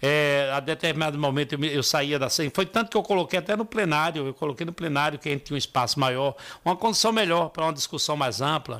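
On a very clean recording with a silent background, a man with a fairly high pitch and a bright, sharp tone talks at a fairly quick pace. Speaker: city council president. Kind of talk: radio interview. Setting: radio studio. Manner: halting.

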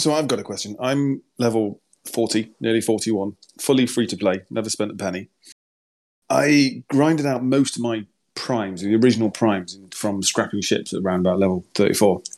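Spoken with a British accent at a moderate pace, the voice shows ordinary pitch variation against a quiet background. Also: man, medium pitch for a man. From Britain. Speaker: mobile game player in a guild voice chat.

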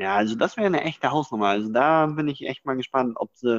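A man with an ordinary speaking voice talks at a fairly quick pace with medium pitch and lively intonation. The sound is dry and close with no echo, against a quiet background. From northeastern Germany. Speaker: podcast co-host. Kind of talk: casual chat.

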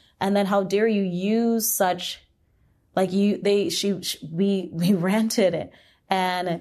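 With a Canadian accent, a woman speaks in a plain, everyday voice at medium pitch with fairly even intonation over a quiet background. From Hamilton, Ontario, Canada. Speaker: choreographer and dancer. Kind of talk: casual interview.

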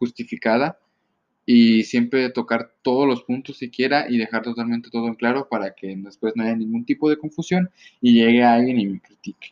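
Spoken in a Mexican accent, the delivery keeps a fairly even intonation. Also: man. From Mexico. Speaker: solo podcaster. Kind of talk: casual solo monologue.

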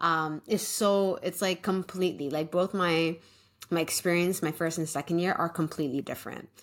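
In a Canadian accent, a woman with a normal speaking voice talks at a moderate pace, her pitch fairly low and her intonation fairly even, on a very clean recording with a silent background. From Canada. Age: 20s. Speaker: teacher and podcast co-host. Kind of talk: casual chat.

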